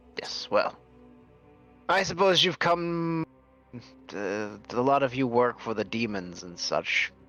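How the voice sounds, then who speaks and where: A man's put-on character voice at medium pitch, fairly slow with long, frequent pauses, over faint music in the background. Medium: actual play. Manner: imperious, slow, condescending.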